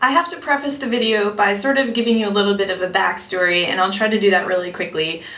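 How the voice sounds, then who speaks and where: The speech is very fast, with hardly any pauses and lively intonation. Background noise is noticeable and room echo is audible. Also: woman, medium pitch for a woman. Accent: American. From New York City, Greenwich Village. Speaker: vlogger. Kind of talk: storytime vlog monologue. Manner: casual, chatty with fillers.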